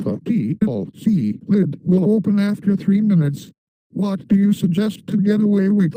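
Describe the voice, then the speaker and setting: This cartoonish character voice sits at a middle pitch and moves at a moderate pace. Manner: boastful, taunting.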